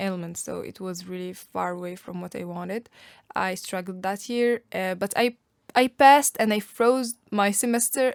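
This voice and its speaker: Speaking in an Arabic accent at a moderate pace, a woman has a medium pitch and big swings in loudness, heard in a dry, close sound with no echo. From Algeria. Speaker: university student. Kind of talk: podcast interview.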